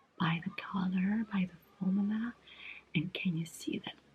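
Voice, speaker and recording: A woman speaks very slowly and softly. Her voice is somewhat breathy. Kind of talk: ASMR makeup unboxing and swatching. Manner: soft-spoken, relaxing.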